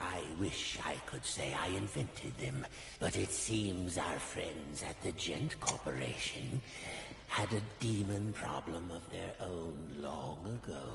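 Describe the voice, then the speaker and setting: In a put-on character voice, a man speaks at a fairly slow pace with a very deep, low pitch, with a clear echo and loud background noise. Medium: virtual streamer. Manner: smooth, condescending.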